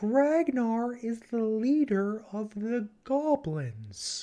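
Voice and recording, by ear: Very slow delivery in a put-on character voice. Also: female-sounding voice, fairly high pitch for a woman.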